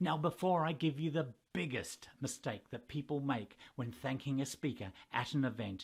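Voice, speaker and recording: A somewhat breathy man with a fairly high pitch, ordinary pitch variation and a moderate pace. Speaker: professional master of ceremonies. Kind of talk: tutorial talk to camera.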